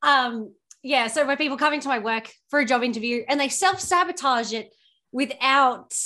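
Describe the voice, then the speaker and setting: A woman talks at a moderate pace in a raised, projected voice. Her pitch is high, with ordinary variation and a bright, sharp tone. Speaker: podcast co-host. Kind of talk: casual chat.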